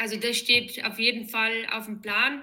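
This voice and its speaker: Fairly slow and fairly high in pitch, a woman's voice comes across with a bright, sharp tone. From Bavaria, Germany (Erding). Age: 30s. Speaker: amateur triathlete. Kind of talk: interview.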